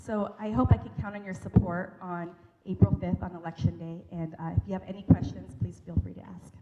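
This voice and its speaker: A speaker with an American accent talks at a fairly quick pace with big swings in loudness over noticeable background noise. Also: woman. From US Pacific Northwest. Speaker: local election candidate. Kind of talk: campaign speech at forum.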